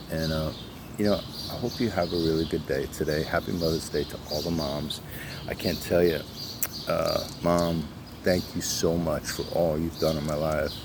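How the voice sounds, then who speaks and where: A man speaks with a very deep, low pitch and fairly even intonation. Audible room echo and noticeable background noise are present. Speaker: motivational vlogger. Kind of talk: motivational monologue. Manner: fast; halting, many fillers.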